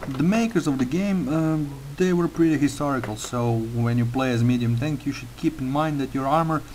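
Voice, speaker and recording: Over noticeable background noise, a man with a Slavic accent speaks at a moderate pace, his fairly high pitch showing ordinary pitch variation. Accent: Slavic accent, a little like Russian. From Croatia. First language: Croatian. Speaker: gaming tutorial maker. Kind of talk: tutorial. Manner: hesitant, many fillers.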